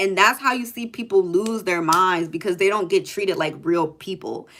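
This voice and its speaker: A loud woman with medium pitch and an animated tone. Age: 20s. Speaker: livestreamer. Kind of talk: casual chat.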